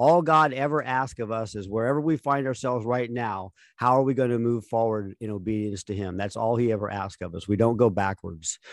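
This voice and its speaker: A man's normal speaking voice at a medium pitch, a fairly quick pace with hardly any pauses, ordinary pitch variation, and a very clean recording with a silent background. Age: 60s. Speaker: podcast co-host. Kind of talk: casual chat.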